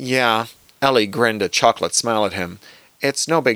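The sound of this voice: An unforced reading voice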